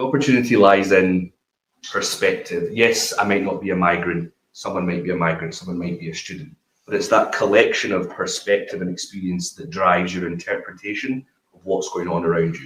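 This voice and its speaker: Speaking with a Glasgow accent, a man goes at a fairly quick pace with big swings in loudness. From Glasgow, Scotland. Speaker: business founder, panelist. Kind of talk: panel discussion.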